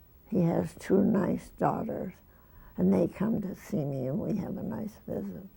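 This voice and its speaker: A woman talks fairly slowly as noticeable background noise carries on behind her. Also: medium pitch for a woman, ordinary pitch variation. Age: 80s+. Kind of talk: interview answer. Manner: slow, hesitant.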